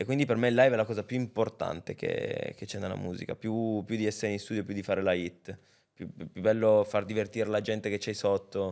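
A man's plain, everyday voice, fairly low-pitched, with fairly even intonation at a fairly quick pace over a quiet background. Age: 20s. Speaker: rapper; podcast guest. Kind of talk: casual chat. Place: studio. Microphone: studio mic.

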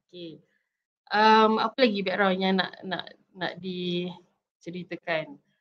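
Very slow in pace, a woman speaks with fairly even intonation and big swings in loudness. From Malaysia, Shah Alam; Malaysia. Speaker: PhD student sharing her story; guest. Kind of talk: interview testimony. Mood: friendly, smiling. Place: home room. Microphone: video call.

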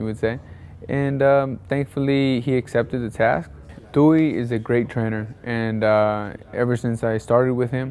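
At a moderate pace, a man speaks with ordinary pitch variation over light background noise. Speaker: interviewee. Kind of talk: interview answer. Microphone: lapel.

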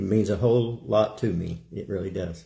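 At a moderate pace, the voice is somewhat breathy with a dark, mellow tone over a quiet background. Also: man. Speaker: preacher. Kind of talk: sermon. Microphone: phone near.

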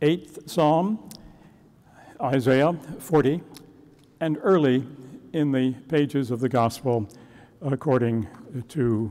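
Speaking very slowly with long, frequent pauses, a man uses a dark, mellow tone and ordinary pitch variation. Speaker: minister. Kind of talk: sermon. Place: church. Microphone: lapel.

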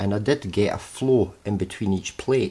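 This man's voice is somewhat breathy and fairly low in pitch. His pitch varies in an ordinary way. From UK. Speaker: hobbyist HHO cell builder. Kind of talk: workshop demonstration talk to camera. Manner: hesitant, casual. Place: workshop. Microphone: phone near.

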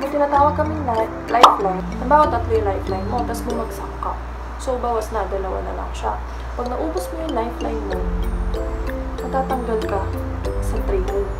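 Amid loud background noise, the speech runs at a fairly quick pace broken by long, frequent pauses. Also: woman. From Philippines. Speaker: flight attendant. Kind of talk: casual talk to camera. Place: home room. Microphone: phone near.

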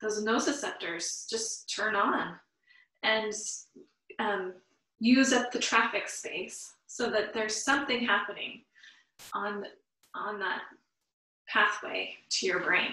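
A woman with a fairly high pitch and a bright, sharp tone speaks at a very slow pace with fairly even intonation. She leaves long, frequent pauses, and audible room echo surrounds her voice. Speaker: yoga teacher. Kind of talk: guided yoga class. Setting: online live class. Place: home room. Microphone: camera far.

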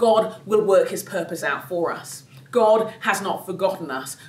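The woman's pitch sits at a medium level. Audible room echo surrounds her voice. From London, England. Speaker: speaker, author; speaker. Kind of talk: sermon. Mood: earnest, faith-filled encouragement.

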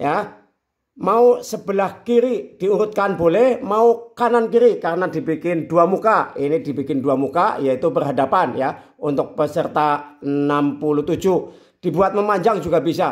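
Against a quiet background, a man with a high pitch speaks at a fairly slow pace using lively intonation. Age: 50s. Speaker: YouTuber, sports scheduling tutorials; sports schedule vlogger. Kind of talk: tutorial. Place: home room. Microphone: phone near.

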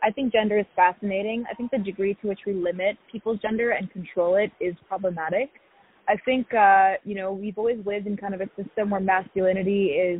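A woman talks at a fairly quick pace with fairly even intonation. The sound is dry, with no echo. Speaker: interviewee. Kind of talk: interview answer. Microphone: phone line.

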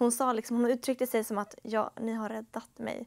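This woman has a high pitch. Her intonation is monotone and flat. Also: quiet background. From Sweden (Upplands Väsby, Stockholm area); Sweden. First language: Finnish (speaking Swedish). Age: young. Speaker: bible school student; talk show guest. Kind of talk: testimony. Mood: calm, reflective. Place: studio. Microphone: lapel.

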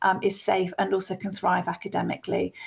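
A woman talks at a fairly quick pace with a British accent. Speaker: school staff member. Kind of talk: webinar presentation. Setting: online webinar. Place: office. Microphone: webcam.

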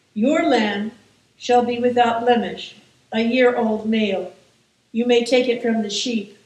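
Amid audible room echo, a woman speaks at a fairly slow pace in a monotone, flat intonation. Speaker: clergy reader. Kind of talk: scripture reading. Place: church.

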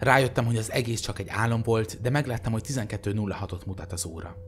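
A man's fairly low, somewhat breathy voice shows ordinary pitch variation. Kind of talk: creepypasta reading aloud, ghost story telling.

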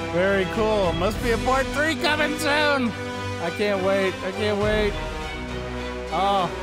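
A man at a very slow pace, dry sound with no echo, clear music playing behind him. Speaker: reaction video host. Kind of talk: casual vlog chat. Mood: enthusiastic. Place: home room. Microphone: studio mic.

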